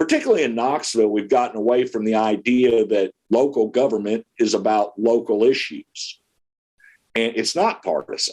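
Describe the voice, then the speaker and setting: Keeping a fairly even intonation, a man talks at moderate pace and medium pitch. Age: 60s. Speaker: political candidate. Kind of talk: interview. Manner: halting.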